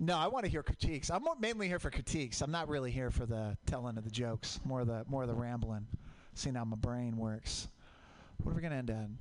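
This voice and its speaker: A man with an American accent talks at a very fast pace. His pitch is medium, with ordinary pitch variation. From Portland, US Pacific Northwest. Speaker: stand-up comedian. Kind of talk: stand-up. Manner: halting.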